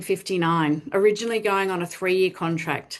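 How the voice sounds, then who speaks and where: Speaking at a fairly quick pace, a woman with an Australian accent has a medium pitch, and the background is quiet. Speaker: charity fundraising executive. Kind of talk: webinar presentation.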